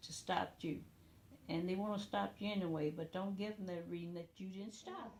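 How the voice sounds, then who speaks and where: A somewhat breathy woman's voice, dark and mellow in tone, at medium pitch and a moderate pace with ordinary pitch variation. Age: 80s+. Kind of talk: interview answer. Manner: casual, conversational.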